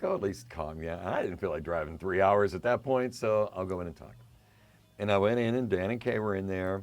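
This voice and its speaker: A man with an American accent has a plain, everyday voice, pitched fairly low, and talks fairly quickly with ordinary pitch variation. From western Pennsylvania. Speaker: radio DJ. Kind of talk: interview.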